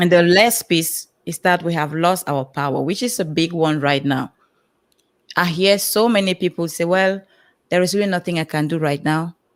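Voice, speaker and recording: At a moderate pace with ordinary pitch variation, the voice comes through on a very clean recording with a silent background. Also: woman. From Cameroon. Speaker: personal empowerment coach. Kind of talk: panel interview on live stream.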